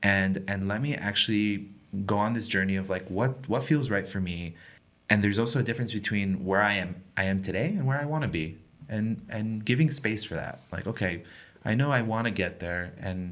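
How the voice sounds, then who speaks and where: A man talks in a normal speaking voice at a fairly low pitch. He keeps a fairly quick pace with ordinary pitch variation. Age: young. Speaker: podcast guest, immigrant to Israel. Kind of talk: casual interview chat.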